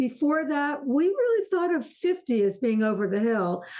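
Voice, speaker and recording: A woman is talking. Her pitch swings very widely. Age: 70s. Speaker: author and aging expert. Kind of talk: interview conversation.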